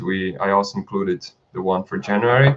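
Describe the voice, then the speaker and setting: His pace stays moderate. This man talks with a non-native accent. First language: not English. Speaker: stock footage creator and channel host. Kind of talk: live stream chat. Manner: halting, with frequent fillers and restarts.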